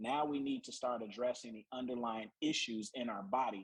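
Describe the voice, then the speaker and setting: An unremarkable speaking voice belongs to a man of medium pitch. He talks at a fairly quick pace with fairly even intonation. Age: 50s. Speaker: naturopathic doctor. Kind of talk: health presentation.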